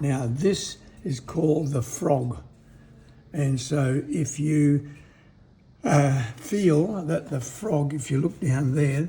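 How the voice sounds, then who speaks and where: Through noticeable background noise, a man with an Australian accent and a fairly high pitch talks at a very slow pace with ordinary pitch variation. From Western Australia. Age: 70s. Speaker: retired woodwork teacher, cabinet maker. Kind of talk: casual explanatory demonstration.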